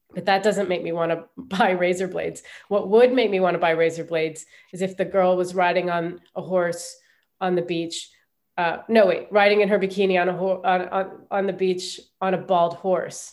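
A woman with a Midwestern accent at medium pitch and moderate pace, in a monotone, flat intonation. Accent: American Midwestern. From US Midwest, Ohio. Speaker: comedian. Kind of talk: interview.

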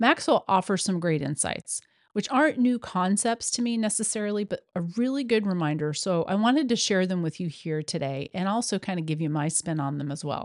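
A woman's unremarkable speaking voice at medium pitch, fairly quick pace and lively intonation, dry and close with no echo, over a quiet background. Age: 50s. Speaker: podcast host, yoga teacher. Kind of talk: solo monologue, motivational tips.

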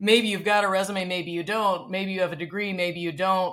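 A woman's medium-pitched voice with a fairly bright tone

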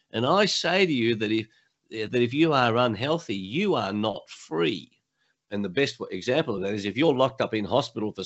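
A man with an Australian accent, medium pitch, lively intonation and a moderate pace. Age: 70s. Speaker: motivational speaker and coach, former lawyer. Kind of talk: interview.

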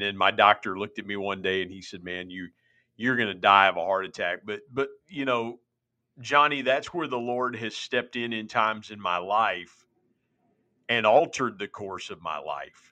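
A man's plain, everyday voice at a fairly low pitch and moderate pace, with ordinary pitch variation and big swings in loudness. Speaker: minister and podcaster. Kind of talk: testimony. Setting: remote call.

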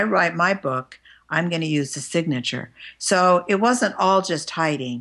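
A woman speaks at a moderate pace with a fairly low pitch and lively intonation. The background is quiet. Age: 60s. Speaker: clinical psychologist and spiritual author. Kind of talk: interview.

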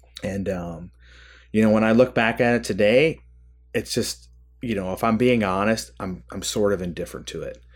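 Heard in a very clean recording with a silent background, a man with a Midwestern American accent speaks at a moderate pace, with a fairly low pitch and ordinary pitch variation. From US Midwest, Michigan. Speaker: army veteran, former company commander. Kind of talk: casual interview. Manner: halting, many fillers.

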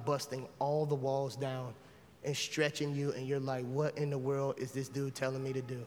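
Speaking at a fairly quick pace, a man uses a fairly high pitch and a monotone, flat intonation, with audible room echo around him. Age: 40s. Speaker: pastor. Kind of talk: closing sermon appeal, intimate pastoral exhortation leading into prayer. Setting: church. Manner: earnest, conversational with rhetorical repetition; casual, colloquial banter.

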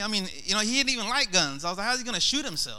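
Raising and projecting his voice, a man speaks with a bright, sharp tone and lively intonation. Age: 30s. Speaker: lay preacher. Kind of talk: sermon.

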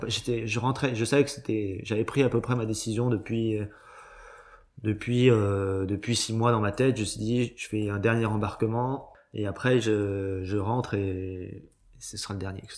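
Fairly slow, fairly even speech from a man. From Brittany, Cancale. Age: 30s. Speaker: chef. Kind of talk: interview. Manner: halting.

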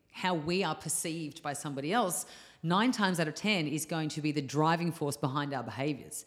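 A woman with an Australian accent and a very deep, low pitch, at a fairly quick pace with ordinary pitch variation, in a very clean recording with a silent background. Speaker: yoga teacher. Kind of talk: casual chat.

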